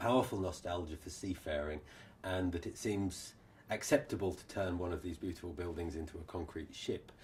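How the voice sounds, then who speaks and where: Somewhat breathy and very deep and low in pitch, a man speaks at a fairly quick pace with ordinary pitch variation. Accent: English. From England, Norfolk. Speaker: social anthropology professor. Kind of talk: interview answer.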